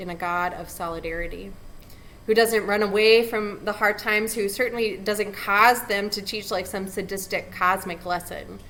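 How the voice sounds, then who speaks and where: A woman speaks with an American accent in a bright, sharp tone. Her intonation stays monotone and flat. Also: medium pitch for a woman, moderate pace. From California. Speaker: pastor. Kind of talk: invocation address.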